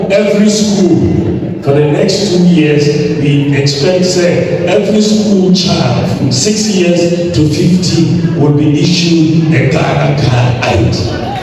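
Very slow, high-pitched speech from a man, ordinary pitch variation, strong room echo and light background noise. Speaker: speaker. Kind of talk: campaign speech. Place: hall. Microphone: pa.

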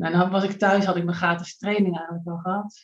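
A woman speaks at a fairly quick pace in a somewhat breathy, fairly low voice with monotone, flat intonation over a quiet background. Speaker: triathlete and coach; coach. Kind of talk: casual chat. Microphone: video call.

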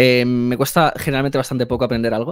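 A man is speaking against a quiet background. The sound is dry, with no echo. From Spain. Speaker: video editor and filmmaker; guest. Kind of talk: interview conversation. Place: home room. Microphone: headset.

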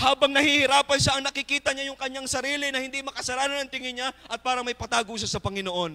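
A warm-toned, raised and projected voice rushes along at a very fast pace with hardly any pauses and fairly even intonation. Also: man, extremely high pitch for a man. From Philippines. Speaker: preacher. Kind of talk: sermon. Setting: church. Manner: fervent, emphatic, pulpit-style exhortation; polite, warm, with congregation call-and-response. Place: church. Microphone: handheld.

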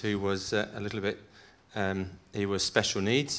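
At a fairly quick pace, a man speaks with a fairly low pitch. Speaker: farm advisor and panel chair. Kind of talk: chairing a panel. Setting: stage with audience. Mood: humorous storytelling. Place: hall. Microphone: handheld.

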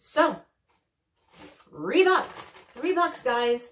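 A woman speaks with lively intonation, and the room echo is audible. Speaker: craft and subscription box reviewer. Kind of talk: casual talk to camera, haul video. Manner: chatty, with frequent fillers and hesitations. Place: home room.

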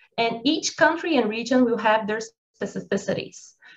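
This woman has a Portuguese accent and a fairly high pitch. She keeps a moderate pace with ordinary pitch variation. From Brazil. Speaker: military college professor; webinar panelist. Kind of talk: webinar presentation. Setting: video call. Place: home room. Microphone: video call.

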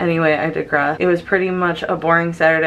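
Over light background noise, a woman talks at a fairly quick pace in a very deep, low voice. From Syracuse, New York. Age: 30s. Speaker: night shift nurse. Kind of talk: casual vlog talk to camera. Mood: relaxed, slightly apologetic. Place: kitchen. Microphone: phone near.

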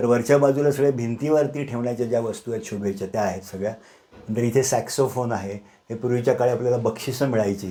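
A man with a dark, mellow tone at medium pitch. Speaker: retired manager and private museum owner. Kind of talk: guided museum tour. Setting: small home museum room.

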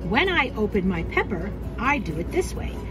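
Clear background music beneath a woman's speech. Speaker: teacher cooking for students. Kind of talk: tutorial. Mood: warm, patient, teacherly. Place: kitchen. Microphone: phone near.

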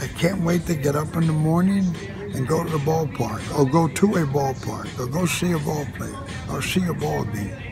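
With clear music behind him, a man talks at a moderate speed. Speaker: baseball scout. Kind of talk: interview answer. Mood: warm, nostalgic, enthusiastic. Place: stadium. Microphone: phone near.

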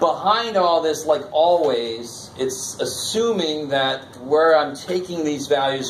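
Over light background noise, a man speaks at a fairly high pitch with lively intonation. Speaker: college math instructor. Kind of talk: classroom lecture. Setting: classroom with students. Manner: conversational, interactive, informal. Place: classroom.

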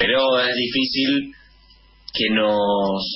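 Light background noise accompanies a man speaking. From Argentina, Buenos Aires province. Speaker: provincial legislator. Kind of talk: radio interview. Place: office. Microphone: video call.

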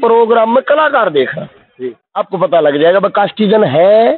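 This man's high voice swings very widely in pitch yet stays very even in loudness, delivered at a fairly slow pace in a dry sound with no echo. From Haryana, Rohtak district; Haryana. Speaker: ragini folk singer; interviewee. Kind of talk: interview. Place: garden. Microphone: handheld.

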